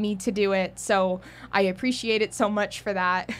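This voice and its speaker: A woman with a fairly high pitch talks over a quiet background. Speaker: YouTuber, video essayist. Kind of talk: video essay conclusion, casual. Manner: fast-paced; rambling, off script.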